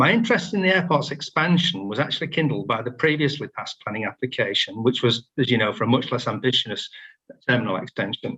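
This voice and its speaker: A man with a Yorkshire accent, medium-pitched and very fast, with very wide pitch swings. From northern England. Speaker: member of the public speaking at a planning meeting. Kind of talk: prepared statement. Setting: video call.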